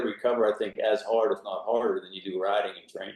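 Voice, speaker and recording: With an American accent, a man speaks using ordinary pitch variation. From Pennsylvania, Pittsburgh. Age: 60s. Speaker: senior cyclist, former Marine. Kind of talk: interview.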